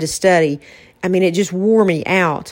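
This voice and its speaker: A woman's medium-pitched voice, a normal speaking voice, with ordinary pitch variation. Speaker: podcast host and author. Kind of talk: casual conversational podcast chat.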